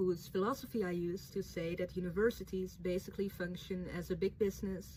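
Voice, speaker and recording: With a Dutch accent, a woman speaks at a moderate pace and a medium pitch. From Netherlands. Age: 20s. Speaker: writer and vlogger. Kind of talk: reading a prepared statement to camera.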